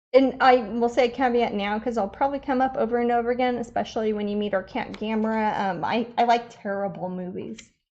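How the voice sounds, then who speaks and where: A woman with a Midwestern US accent talks very fast with hardly any pauses, her fairly high voice keeping a fairly even intonation. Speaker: artist, painter. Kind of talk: live painting stream chat. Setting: live broadcast at home studio. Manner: casual, many fillers.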